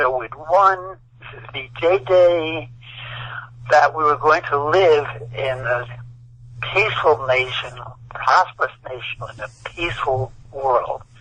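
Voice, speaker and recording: Fairly high male voice with an American accent, ordinary pitch variation, a fairly slow pace and long, frequent pauses, amid noticeable background noise. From New York (Brooklyn). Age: 80s+. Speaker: author and war veteran. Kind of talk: interview. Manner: halting.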